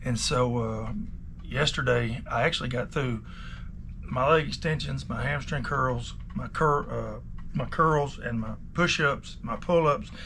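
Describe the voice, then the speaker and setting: A man speaks at a fairly slow pace in a relaxed tone. Audible room echo surrounds his voice. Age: 50s. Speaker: watch repairer. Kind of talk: casual vlog talk. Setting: repair shop. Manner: relaxed, rambling with many fillers.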